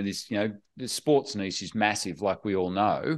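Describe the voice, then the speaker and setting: Against a quiet background, a man with an Australian accent speaks at a moderate pace with lively intonation. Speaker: podcast host. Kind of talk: interview chat. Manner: friendly, conversational.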